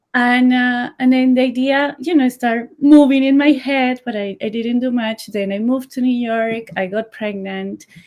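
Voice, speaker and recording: A high-pitched woman with a Colombian accent, speaking with hardly any pauses. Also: fairly even intonation, moderate pace. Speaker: sock brand founder. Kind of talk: interview.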